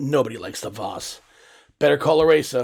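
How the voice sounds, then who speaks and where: A put-on character voice comes through, raspy in texture. It moves at a fairly quick pace. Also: man. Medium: audio drama. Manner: calm, steady.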